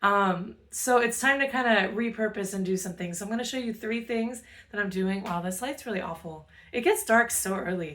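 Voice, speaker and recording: Noticeable background noise runs under a woman whose pitch variation is ordinary. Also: moderate pace. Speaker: cooking channel host. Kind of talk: cooking tutorial. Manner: casual, filler-heavy.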